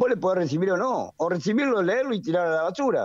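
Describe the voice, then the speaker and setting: A man with a Rioplatense accent and lively intonation. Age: 70s. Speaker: economist. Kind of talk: radio interview.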